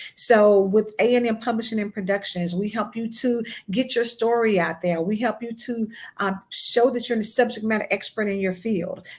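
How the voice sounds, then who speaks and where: A somewhat breathy woman's voice, fairly high in pitch, at a moderate pace with fairly even intonation. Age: 50s. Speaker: magazine editor and podcast host. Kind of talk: interview on a live broadcast. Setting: online live stream.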